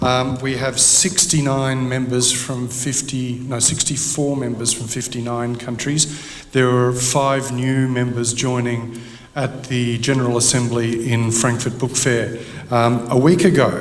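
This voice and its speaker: Medium-pitched speech from a man in an Australian accent, monotone and fairly slow, with audible room echo and noticeable background noise. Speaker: head of publishers association. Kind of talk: conference presentation.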